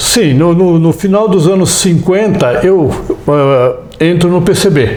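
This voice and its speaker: A man's high-pitched voice, very slow, with lively intonation over noticeable background noise. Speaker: veteran communist activist. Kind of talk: oral history interview answer.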